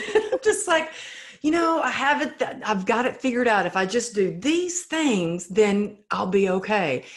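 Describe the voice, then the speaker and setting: A woman speaks in a Texan accent at a high pitch. Her pitch swings very widely, and her pace is fairly slow. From Texas. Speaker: resilience speaker. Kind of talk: interview answer.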